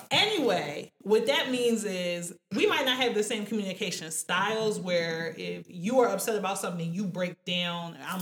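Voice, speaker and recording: A woman with a plain, everyday voice speaks at medium pitch and a moderate pace, with lively intonation and hardly any pauses. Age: 20s. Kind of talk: casual chat.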